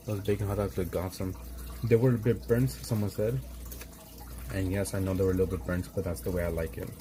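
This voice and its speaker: Mumbling at a very fast pace, a man speaks in a very deep, low voice. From Los Angeles, US. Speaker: art livestreamer. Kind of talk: casual chat while painting on livestream. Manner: mumbling, slurred words.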